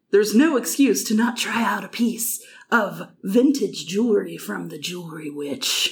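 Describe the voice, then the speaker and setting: A woman's put-on character voice, cackling at a moderate pace with a medium pitch. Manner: sales pitch in a mock-magical tone.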